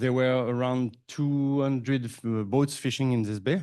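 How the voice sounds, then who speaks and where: A man with a French accent, medium-pitched and dark and mellow in tone, at a moderate pace with ordinary pitch variation. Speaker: hatchery manager. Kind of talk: conference presentation.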